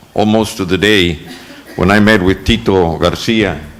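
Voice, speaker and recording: With an American accent and a very deep, low pitch, a man speaks with ordinary pitch variation over noticeable background noise and audible room echo. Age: 70s. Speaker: school board trustee. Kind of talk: acceptance speech. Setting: board meeting room with audience. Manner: halting, many fillers.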